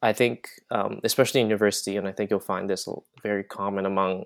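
A man with an unremarkable speaking voice talks at a fairly quick pace, his pitch fairly low. The recording is very clean and dry, close-miked with no echo against a silent background. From Vancouver, Canada. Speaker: university student and podcast host. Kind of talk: casual interview.

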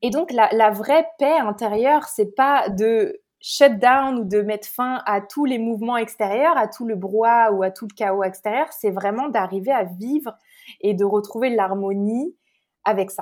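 A woman talks at a fairly slow pace with ordinary pitch variation. Her voice is fairly high, an ordinary speaking voice. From France (Paris). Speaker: spiritual life coach and Reiki practitioner. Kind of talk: podcast interview.

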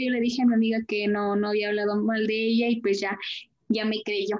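A woman talks in a fairly high pitch, keeping to a moderate pace. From Querétaro, Mexico. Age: 20s. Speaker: interviewee. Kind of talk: interview.

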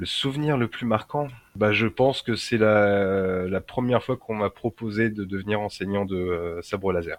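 A man with an unremarkable speaking voice talks slowly at a fairly low pitch, with ordinary pitch variation. The sound is dry and close with no echo, over a quiet background. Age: 30s. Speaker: lightsaber and martial arts instructor. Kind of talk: casual interview.

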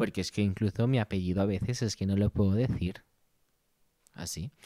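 An animated man's voice on a very clean recording with a silent background. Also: dry, close sound with no echo. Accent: Venezuelan. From Venezuela (Ciudad Bolívar). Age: 30s. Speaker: photographer and podcast host. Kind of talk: casual solo monologue. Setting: home studio set. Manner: animated, laughing often.

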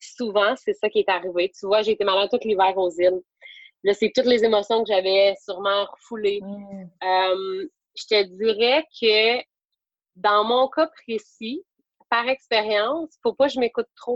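Spoken in a Quebec accent, the voice moves at a fairly slow pace with ordinary pitch variation. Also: woman, fairly high pitch for a woman. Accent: Québécois French. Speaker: yoga teacher. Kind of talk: interview. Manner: hesitant, many fillers.

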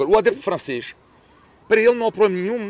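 A man is talking. His pace is very fast. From France. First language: French (speaking Portuguese). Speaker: sports commentator. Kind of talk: casual chat.

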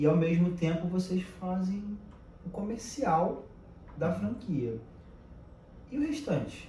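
Amid audible room echo and noticeable background noise, a man talks very slowly at a high pitch, with very wide pitch swings and long, frequent pauses. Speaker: podcast host. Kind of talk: casual chat.

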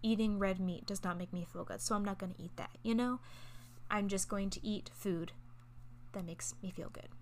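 Somewhat breathy and at medium pitch, a woman talks fairly quickly with lively intonation. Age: 20s. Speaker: podcast host. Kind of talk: casual monologue. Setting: at boyfriend's house.

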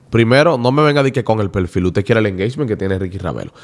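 Pitched fairly low, a man speaks with lively intonation. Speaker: radio presenter. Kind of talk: casual chat.

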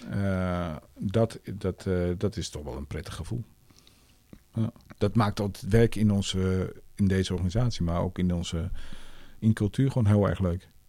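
With a very deep, low pitch and a dark, mellow tone, a man speaks at a moderate pace, his pitch varying in an ordinary way between long, frequent pauses. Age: 50s. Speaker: director of a cultural organization. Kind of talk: casual interview. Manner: halting, many repetitions.

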